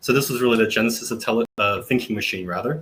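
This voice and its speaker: With an Australian accent, this man talks using ordinary pitch variation. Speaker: tech company founder. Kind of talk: webinar panel introduction.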